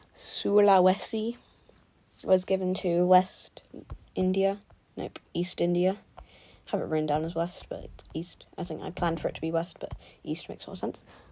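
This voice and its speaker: Using a British accent, a woman talks at a moderate pace with a medium pitch, a dark, mellow tone, fairly even intonation, long, frequent pauses and big swings in loudness. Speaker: mapping video creator. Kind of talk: video game recap narration. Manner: halting.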